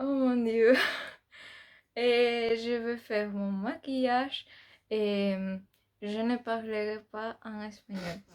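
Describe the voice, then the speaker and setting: Her fairly high voice moves at a very slow pace with long, frequent pauses and big swings in loudness as this woman speaks. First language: Spanish (speaking French). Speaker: beauty youtuber. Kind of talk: casual vlog chat. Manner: halting, many hesitations.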